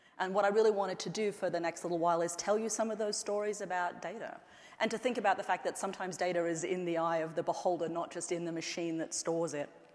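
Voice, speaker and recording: In an Australian accent, a woman talks at a very fast pace with a medium pitch. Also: very clean recording, silent background. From Australia, central and northern outback. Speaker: anthropologist and tech executive giving a keynote. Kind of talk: keynote speech. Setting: stage with audience.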